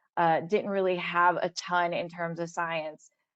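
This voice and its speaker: With an Ohio accent, a woman speaks at a fairly slow pace and a medium pitch. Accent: Midwestern American (Ohio). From Ohio, west side of Cleveland. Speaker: scientist, career panelist. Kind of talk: webinar panel talk. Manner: casual, many filler words.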